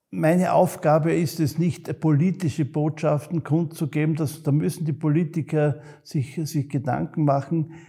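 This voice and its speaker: A man's fairly high voice in a dark, mellow tone, at a moderate pace with fairly even intonation and hardly any pauses. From Austria, Graz (Styria). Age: 70s. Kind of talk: interview. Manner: halting, with repetitions and fillers.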